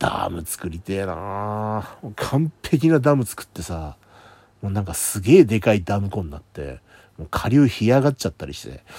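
Very wide pitch swings and big swings in loudness from a man with a dark, mellow tone, fairly low pitch and a moderate pace. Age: 40s. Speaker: podcaster. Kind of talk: solo monologue. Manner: casual.

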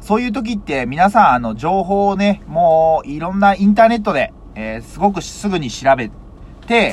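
The man's pitch moves in very wide swings. He keeps a moderate pace. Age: 30s. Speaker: vegetable farmer. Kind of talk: solo talk podcast.

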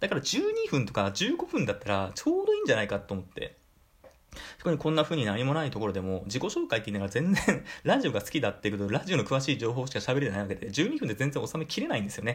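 A man talks at a very fast pace. He has a slight Kyushu accent. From Fukuoka, Kyushu. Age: 30s. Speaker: podcaster, office worker. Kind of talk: solo talk radio. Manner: polite casual.

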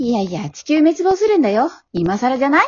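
A woman's put-on character voice, high-pitched with big pitch swings, a slightly mellow tone and a slightly husky edge. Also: fairly quick pace.

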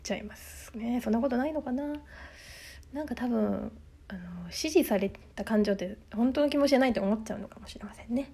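Loudness swings widely as a woman talks at a very fast pace with vocal fry. Her fairly high voice has a dark, mellow tone and ordinary pitch variation. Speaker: solo podcaster. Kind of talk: casual solo monologue.

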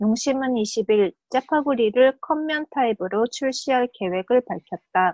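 Very slow, high female speech in a Korean accent, lively intonation, dry and close sound with no echo. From South Korea. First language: Korean (speaking Japanese). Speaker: podcast co-host. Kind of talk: reading aloud. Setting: video call.

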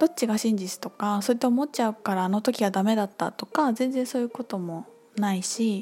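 With music in the background, a woman talks at a fairly quick pace, her pitch fairly high with ordinary pitch variation. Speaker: podcast host and spiritual teacher. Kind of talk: casual solo talk. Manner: fast when absorbed.

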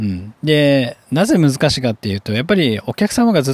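A man talks at a fairly quick pace in a plain, everyday voice, his pitch medium, the sound dry and close with no echo. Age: 30s. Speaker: hairdresser and podcast host. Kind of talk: solo business talk podcast. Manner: casual with many filler words.

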